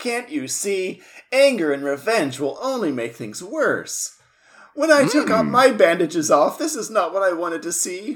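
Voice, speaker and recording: A man's put-on character voice, high in pitch, at a moderate pace, with very wide pitch swings and big swings in loudness. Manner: earnest, melodramatic.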